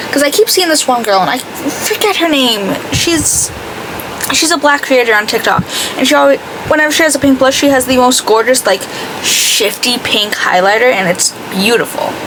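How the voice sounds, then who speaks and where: The speaker has an American accent, lively intonation and very even loudness. Noticeable background noise is present. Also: woman, high pitch for a woman. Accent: slight Boston, drops R when talking fast. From greater Boston area. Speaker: beauty vlogger. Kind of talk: makeup tutorial chat. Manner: casual, chatty.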